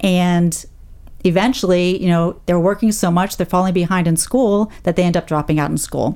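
With a normal speaking voice, a woman keeps her loudness very even, her pitch fairly low and her intonation fairly even. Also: moderate pace. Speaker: nonprofit executive director. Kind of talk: radio interview. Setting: radio studio.

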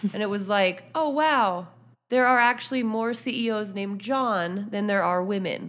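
A woman with an unremarkable speaking voice talks at a moderate pace and medium pitch, with ordinary pitch variation. The recording is very clean, with a silent background. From Pittsburgh, Pennsylvania. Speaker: sports journalist. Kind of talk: interview.

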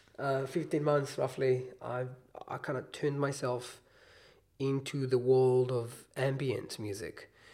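A man speaks at a very slow pace with medium pitch. His tone is dark and mellow, his intonation monotone and flat. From Israel. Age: 20s. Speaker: musician. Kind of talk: casual chat.

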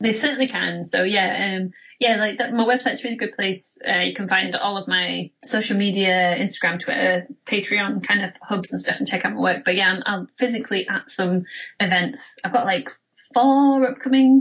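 A woman's voice sits at a middle pitch, shifting in an ordinary way as she talks at an average speed. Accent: Yorkshire. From Huddersfield, northern England. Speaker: comics artist and author. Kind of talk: interview.

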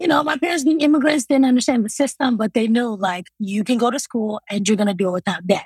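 A woman's fairly high, somewhat breathy voice at a fairly quick pace, lively in intonation, dry and close with no echo. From Congo, moved to US at eight. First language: non-English African language. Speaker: math teacher and college coach. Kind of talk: interview.

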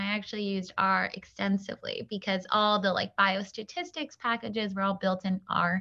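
Speaking at a moderate pace, a woman with an American accent has a bright, sharp tone. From Long Island, New York. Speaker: project manager at a tech company. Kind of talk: casual interview conversation.

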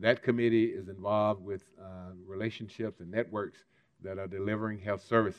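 A man with an American accent, fairly low-pitched and monotone, at a fairly quick clip. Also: big swings in loudness. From US South, Mississippi. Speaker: civil rights leader. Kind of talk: keynote speech.

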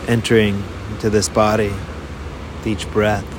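The tone is calm and soothing, with ordinary pitch variation and a fairly slow pace. Noticeable background noise runs underneath. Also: man. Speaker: meditation guide. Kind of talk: guided meditation. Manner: slow, calm, soothing; soft-spoken, with long pauses.

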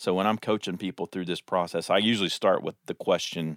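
In a very clean recording with a silent background and a dry, close sound with no echo, a man talks at a fairly quick pace in an unremarkable speaking voice, his pitch fairly low. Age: 50s. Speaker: pastor. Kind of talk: casual chat.

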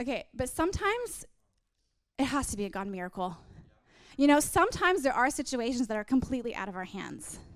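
In a very clean recording with a silent background, a woman with a high pitch and an animated tone speaks at a very fast pace, with very wide pitch swings, big swings in loudness, and long, frequent pauses. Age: 30s. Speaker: preacher. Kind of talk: sermon.

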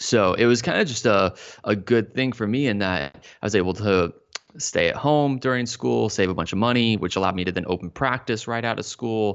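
With an American accent, a man talks at a fairly quick pace in a fairly low pitch. His is an ordinary speaking voice with ordinary pitch variation. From Texas, Dallas-Fort Worth. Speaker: physical therapy clinician and educator. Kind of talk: interview conversation.

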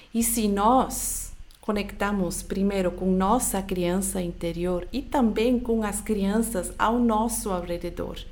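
A woman with a medium pitch talks at a very slow pace and with fairly even intonation, her voice carrying audible room echo. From Switzerland. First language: not Portuguese (Swiss-born) (speaking Portuguese). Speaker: podcast host, personal growth coach. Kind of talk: motivational solo podcast talk.

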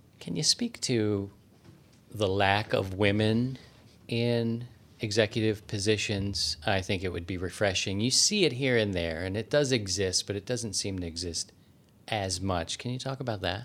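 With an American accent, a man in an unremarkable speaking voice talks at a moderate pace and fairly low pitch, his pitch varying in an ordinary way. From Maryland, US. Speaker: podcast host, ballet company director. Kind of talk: interview; scripted narration. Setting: studio.

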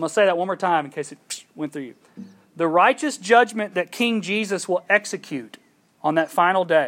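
A man speaks at a high pitch and a moderate pace. His pitch varies in an ordinary way. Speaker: preacher. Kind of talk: sermon. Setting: outdoors.

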